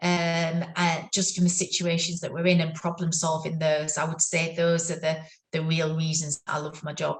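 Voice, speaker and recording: Somewhat breathy, a woman with a fairly low pitch talks at a moderate pace. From northern England. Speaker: neuro-occupational therapist. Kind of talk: interview. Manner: halting, many fillers.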